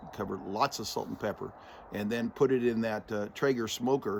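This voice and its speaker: A man at a medium pitch and moderate pace. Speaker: retired homesteader vlogger and preacher. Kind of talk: casual vlog monologue. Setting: outdoors. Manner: halting, many restarts and fillers.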